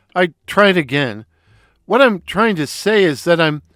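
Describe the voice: Over a quiet background, someone reads aloud plainly.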